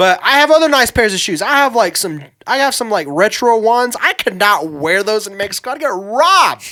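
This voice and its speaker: At a fairly quick pace, the raised, projected voice has a bright, sharp tone and very wide pitch swings. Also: man, high pitch for a man. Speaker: podcast co-host. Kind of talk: casual chat. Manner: casual, halting with fillers and restarts.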